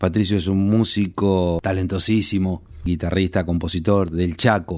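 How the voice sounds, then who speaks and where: In a very deep, low pitch, a man speaks with monotone, flat intonation at a fairly slow pace. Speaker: radio host. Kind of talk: scripted narration.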